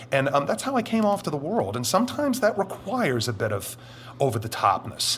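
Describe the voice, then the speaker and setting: A man's high voice with very wide pitch swings at a fairly quick pace, over noticeable background noise. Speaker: anonymous witness, former military, Satanist. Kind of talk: interview testimony.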